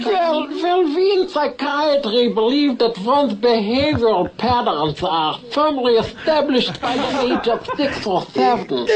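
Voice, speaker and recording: A put-on character voice, mumbling at a fairly high pitch and a fairly slow pace, with clear background noise. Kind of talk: formal, clinical.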